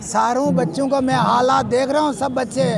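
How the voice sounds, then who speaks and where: Over crowd noise and audible room echo, a man talks at an extremely high pitch with ordinary pitch variation. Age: 60s. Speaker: holy man interviewed at protest. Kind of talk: street interview. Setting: outdoors at a protest.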